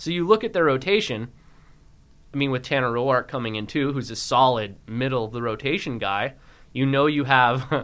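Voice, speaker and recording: A man with an American accent speaks at medium pitch and a moderate pace, with ordinary pitch variation and an ordinary speaking voice. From US West, San Francisco Bay Area. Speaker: sports podcast co-host. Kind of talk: casual sports chat. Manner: giggly, laughing.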